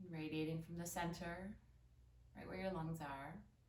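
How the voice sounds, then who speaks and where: The delivery is monotone and flat at a moderate pace. Room echo is audible. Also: woman. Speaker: yoga instructor. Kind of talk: guided yoga class. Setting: home recording early morning.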